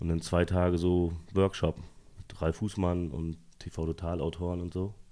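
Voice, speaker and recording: A man speaks at a very deep, low pitch with a dark, mellow tone. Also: very clean recording, silent background. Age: 40s. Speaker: comedy writer and TV producer. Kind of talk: casual interview chat. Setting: at the host's home.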